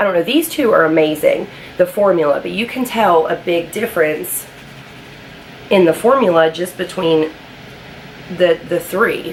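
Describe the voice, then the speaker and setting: Against noticeable background noise, a woman with a fairly low pitch speaks at a moderate pace with ordinary pitch variation and long, frequent pauses. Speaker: beauty vlogger. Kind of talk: casual talk to camera, product review.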